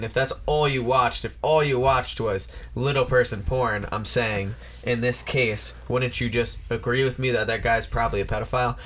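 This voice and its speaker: With noticeable background noise behind him, a man speaks at a moderate pace and medium pitch, with ordinary pitch variation. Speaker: podcast co-host. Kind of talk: casual chat. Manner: animated.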